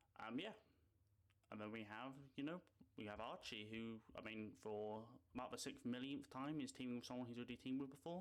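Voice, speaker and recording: Speaking at a fairly quick pace with long, frequent pauses, a man uses a medium pitch and a British accent. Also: ordinary pitch variation. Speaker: esports commentator YouTuber. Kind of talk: casual commentary. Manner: animated.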